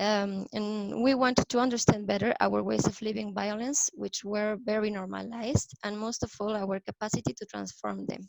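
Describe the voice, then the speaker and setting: At a moderate pace and with hardly any pauses, a woman speaks in a Spanish accent, the sound dry and close with no echo. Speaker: youth peace activist. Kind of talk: prepared talk read from notes. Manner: hesitant, with fillers.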